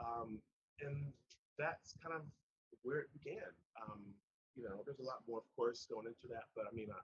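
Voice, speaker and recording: Somewhat breathy at a medium pitch, a man speaks at a moderate pace with long, frequent pauses. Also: ordinary pitch variation. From northern US. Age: 50s. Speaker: recovering addict. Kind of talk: interview testimony. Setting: podcast.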